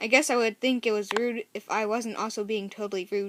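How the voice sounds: The intonation is fairly even in this natural reading voice.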